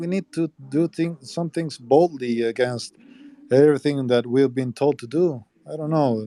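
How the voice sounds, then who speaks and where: In a Spanish accent, a man with fairly high pitch and ordinary pitch variation speaks at a moderate pace, the sound dry and close with no echo. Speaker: politician's brother. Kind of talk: live audio chat. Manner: halting.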